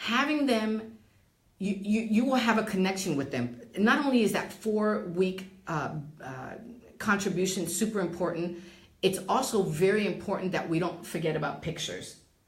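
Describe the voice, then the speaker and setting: With a New Jersey accent, a woman talks at a medium pitch and moderate pace with lively intonation, amid audible room echo and noticeable background noise. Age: 60s. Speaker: real estate and title professional. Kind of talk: interview. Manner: halting.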